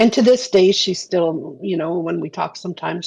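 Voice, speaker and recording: A woman with a slight Canadian accent speaks at a moderate pace. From Canada. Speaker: game developer. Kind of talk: podcast interview.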